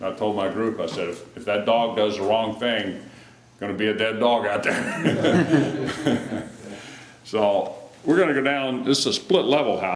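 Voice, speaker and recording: Medium-pitched male speech at a fairly slow pace, with ordinary pitch variation and audible room echo. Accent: American. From Utah, US. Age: 60s. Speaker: historic house tour guide. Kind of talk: guided tour talk.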